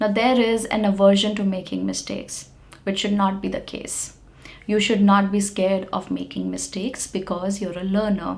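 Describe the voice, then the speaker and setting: In an Indian accent, a woman speaks at a medium pitch with monotone, flat intonation. There is noticeable background noise and audible room echo. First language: Hindi. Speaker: English teacher. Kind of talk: lecture. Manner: slow; relaxed, clearly enunciated.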